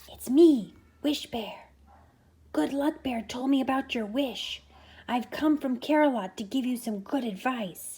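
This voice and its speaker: A female-sounding voice puts on a character voice with a high pitch and a gentle tone. The pace is fairly slow. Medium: read story. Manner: gentle, reassuring.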